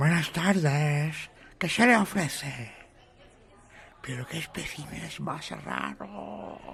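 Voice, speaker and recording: A put-on character voice at a low-to-middle pitch, very slow in pace, with long, frequent pauses. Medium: audio drama. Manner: courteous, nervous.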